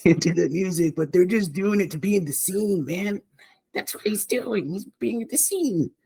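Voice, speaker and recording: At a moderate pace, a raspy put-on character voice speaks at a middle pitch. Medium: actual play. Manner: cocky, laughing, slangy.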